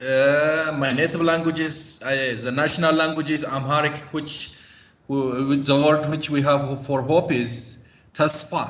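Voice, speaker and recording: Audible room echo surrounds a man with an Ethiopian accent and a fairly high pitch. He speaks fairly slowly in a monotone, flat intonation. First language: Gamo. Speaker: interview guest. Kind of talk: interview.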